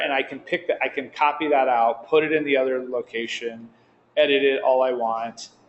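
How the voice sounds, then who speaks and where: Here a man speaks in an unremarkable speaking voice at a fairly high pitch. His pace is moderate and his intonation fairly even. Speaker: software developer presenting at user group meeting. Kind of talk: live software demo to user group.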